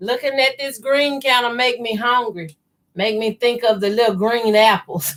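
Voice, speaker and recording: A woman speaks in a high voice with a slight Southern US accent. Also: ordinary pitch variation, moderate pace. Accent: slight southern country. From US South, Mississippi. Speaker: quilting youtuber. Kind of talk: live sewing tutorial chat. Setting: livestream. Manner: casual, conversational.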